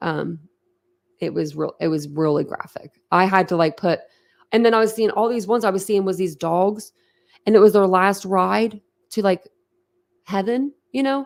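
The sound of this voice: A woman's medium-pitched voice with vocal fry and ordinary pitch variation. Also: moderate pace.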